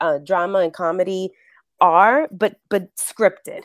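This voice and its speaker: Recorded with a dry, close sound and no echo, a woman speaks at medium pitch with a Spanish accent. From New York City, the Bronx. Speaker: actress and acting coach. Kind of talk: interview.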